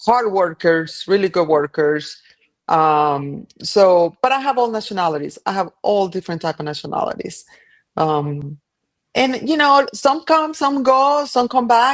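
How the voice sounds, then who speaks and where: Her pitch swinging very widely, a woman with a Colombian accent speaks at a fairly slow pace. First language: Spanish. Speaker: cleaning business owner. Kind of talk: casual interview chat.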